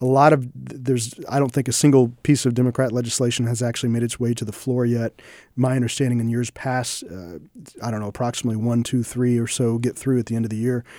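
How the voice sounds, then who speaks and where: In a very clean recording with a silent background, a man with an American accent talks very fast in a dark, mellow tone and a monotone, flat delivery. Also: medium pitch for a man. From Independence, Missouri, US Midwest. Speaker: state legislator and lawyer. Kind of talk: interview. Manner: halting, many restarts.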